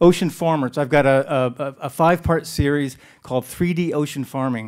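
With a normal speaking voice, a man speaks at a moderate pace and a fairly high pitch. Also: quiet background. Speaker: science video producer; speaker. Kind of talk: conference presentation. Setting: stage with audience. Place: hall.

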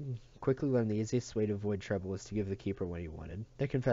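An unforced reading voice, pitch shifting by normal degrees

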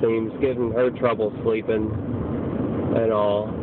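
Over noticeable background noise, a man speaks at a very slow pace in a dry sound with no echo. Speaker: student vlogger. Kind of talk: casual vlog chat. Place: car. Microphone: phone near.

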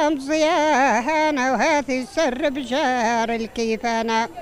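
A woman speaks very slowly in a high voice with ordinary pitch variation. Light background noise is present, and the sound is dry with no echo. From Algeria, Oum El Bouaghi (Aures region); Algeria. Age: 70s. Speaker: elderly woman keeping traditions. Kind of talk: interview. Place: street. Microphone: handheld.

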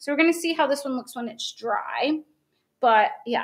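An animated woman with an American accent, high-pitched, with very wide pitch swings. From West Virginia. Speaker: craft tutorial host. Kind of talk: live craft tutorial. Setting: live video stream. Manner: fast talker. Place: home room.

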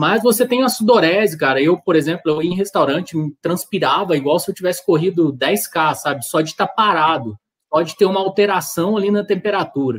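Against a quiet background, a man speaks at a fairly quick pace. His high voice carries lively intonation. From Brazil. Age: 30s. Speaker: amateur marathon runner; guest. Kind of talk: casual chat. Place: home room.

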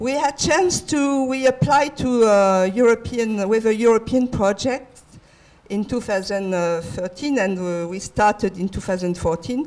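With a French accent, a woman speaks at a very slow pace in a fairly high pitch with lively intonation. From France. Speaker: design centre international affairs head; conference speaker. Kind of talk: conference talk. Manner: halting. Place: hall. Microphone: handheld.

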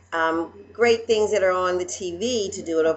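With lively intonation, a woman talks at a moderate pace against light background noise. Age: 40s. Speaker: vlogger. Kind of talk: casual vlog monologue. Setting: at home. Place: home room. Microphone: webcam.

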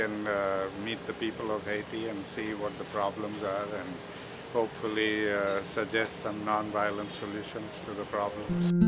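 The speaker keeps a moderate pace. Noticeable background noise runs underneath. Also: man. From India. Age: 70s. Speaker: peace activist. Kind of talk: interview answer. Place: garden.

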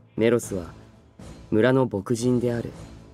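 A medium-pitched man at a fairly slow pace, with music in the background. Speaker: voice actor. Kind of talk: literary audiobook reading.

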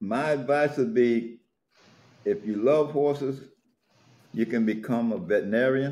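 At a moderate pace, a man with an American accent speaks in a dark, mellow tone with lively intonation, leaving long, frequent pauses. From US South (Florida). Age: 80s+. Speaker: urban horseman and riding club elder; interviewee. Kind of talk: interview. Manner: halting. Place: home room. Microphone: video call.

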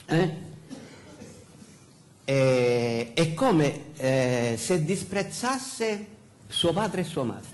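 A man with a Sicilian accent speaks very slowly, pausing long and often. His pitch swings very widely. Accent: Sicilian Italian, uses dialect. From Sicily. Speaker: pastor. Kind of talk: sermon. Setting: church pulpit. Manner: halting, many fillers. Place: church.

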